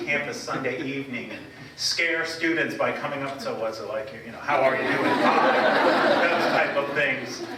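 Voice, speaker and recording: Over noticeable background noise and audible room echo, a man talks at a moderate pace in a fairly high pitch. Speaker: college presidential candidate. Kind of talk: campus presentation. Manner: loud.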